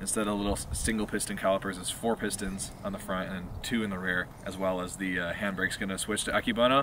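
Here is a man with an ordinary speaking voice and fairly even intonation at a fairly quick pace. The sound is dry with no echo, with light background noise. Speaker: car vlogger. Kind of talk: casual vlog chat. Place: open country.

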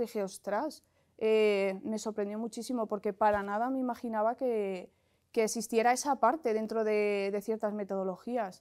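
A woman with a fairly high pitch and a dark, mellow tone speaks at a moderate pace. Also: quiet background. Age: 40s. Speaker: bootcamp student, former HR worker. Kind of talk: testimony. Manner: hesitant, many fillers. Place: studio. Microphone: lapel.

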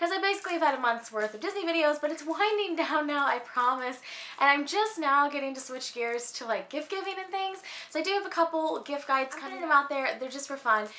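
A very fast, raised and projected voice in an American accent, upbeat in tone with lively intonation. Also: woman, high pitch for a woman. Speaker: beauty and lifestyle vlogger. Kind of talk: casual talk to camera. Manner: upbeat, chatty. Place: home room.

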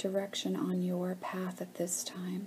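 A soft-spoken voice with a soothing, calm tone comes through over light background noise. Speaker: guided meditation leader. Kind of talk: guided meditation. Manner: slow, soft, soothing, calm and gentle with long pauses and humming. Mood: calm, slow, soothing. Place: home room. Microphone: webcam.

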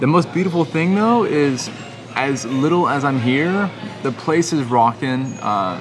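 Faint music plays behind a man who speaks at a moderate pace. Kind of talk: casual vlog chat. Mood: content, reflective. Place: bar. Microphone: phone near.

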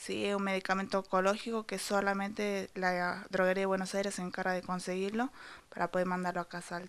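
This woman talks at a fairly quick pace with a medium pitch. Her intonation stays monotone and flat. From Salta, Argentina; Argentina. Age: 20s. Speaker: student and cancer patient. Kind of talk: news interview. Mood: worried, pleading. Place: kitchen. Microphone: handheld.

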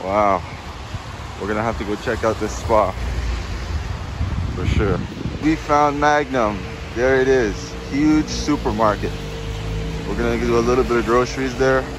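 Against clear background noise, a man with medium pitch talks at a fairly slow pace, leaving long, frequent pauses. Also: ordinary pitch variation.

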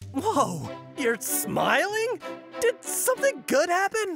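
In a put-on character voice, a man speaks slowly at an extremely high pitch with vocal fry. His fairly bright tone swings very widely in pitch, with faint music behind him.

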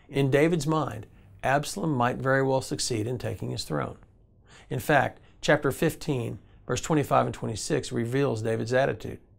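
A man with vocal fry speaks at a moderate pace with ordinary pitch variation. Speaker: devotional teacher. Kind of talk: devotional teaching. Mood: calm, earnest. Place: studio.

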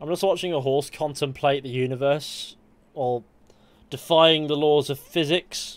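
A man with an English accent speaks at a moderate pace in a fairly high pitch, his intonation fairly even, on a very clean recording with a silent background. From England. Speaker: gaming streamer. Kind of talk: live gameplay commentary. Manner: rambling.

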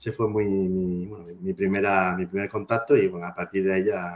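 At a moderate pace, a man speaks in a fairly low voice with ordinary pitch variation. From Spain, Alicante; Spain. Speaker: IT specialist and blogger; podcast guest. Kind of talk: casual interview chat. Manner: halting, many fillers. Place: home room. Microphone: video call.

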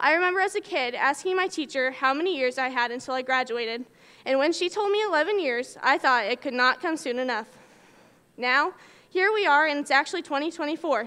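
A woman speaks in a raised, projected voice at a fairly quick pace. Her tone is bright and sharp. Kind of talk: commencement speech. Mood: nostalgic, warm. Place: hall. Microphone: podium.

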